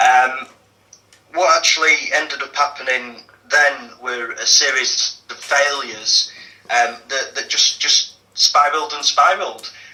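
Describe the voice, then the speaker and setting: A man with a Yorkshire accent. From northern England, Leeds. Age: 40s. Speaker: activist guest. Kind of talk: interview testimony. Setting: radio show. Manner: hesitant, many fillers.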